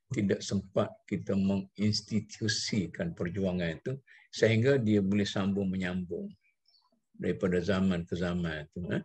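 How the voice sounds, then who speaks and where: This man's voice is fairly low in pitch and somewhat breathy, and he speaks at a fairly slow pace. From Malaysia. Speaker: religious scholar leading a text reading. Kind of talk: text reading and explanation. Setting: video call. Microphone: video call.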